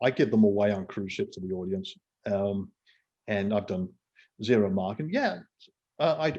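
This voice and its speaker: In a West Midlands accent, a man talks at a fairly low pitch with a dark, mellow tone. His pace is moderate and his pitch variation ordinary. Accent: English Midlands (Coventry). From England, Coventry. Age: 60s. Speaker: entrepreneur and author. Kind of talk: interview conversation.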